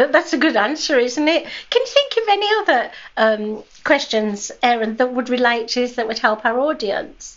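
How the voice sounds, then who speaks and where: With a British accent and lively intonation, a woman speaks at a moderate pace in a high pitch. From Britain. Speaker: podcast co-host. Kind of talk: casual chat.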